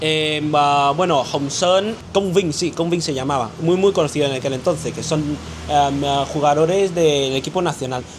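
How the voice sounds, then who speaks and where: A man with a Vietnamese accent, fairly high-pitched, at a moderate pace with ordinary pitch variation, against noticeable background noise. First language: Vietnamese (speaking Spanish). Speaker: interview guest. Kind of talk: casual interview. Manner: halting, many fillers and restarts.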